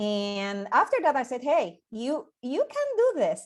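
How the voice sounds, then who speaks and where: A woman speaks with a Puerto Rican accent and lively intonation. She keeps a fairly slow pace. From Puerto Rico. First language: Spanish. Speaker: scientist and NASA project manager. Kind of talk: invited presentation. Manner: halting, many repetitions and fillers.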